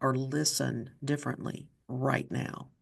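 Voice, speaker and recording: With an Appalachian accent, a woman speaks in a very deep, low pitch. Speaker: podcast host. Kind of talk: interview conversation.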